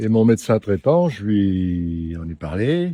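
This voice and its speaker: A man's dark, mellow tone at a very slow pace. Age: 70s. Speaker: prostate cancer survivor. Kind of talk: interview.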